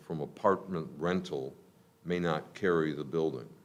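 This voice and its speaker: A man speaks with audible room echo around him. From Chicago. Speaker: property developer. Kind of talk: public comment at council meeting. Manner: halting.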